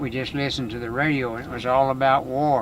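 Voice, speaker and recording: In a Texan accent, a man speaks at a moderate pace with a medium pitch. His pitch variation is ordinary, and the room echo is audible. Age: 70s. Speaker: rancher and veterinarian. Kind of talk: storytelling in casual chat. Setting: in a car.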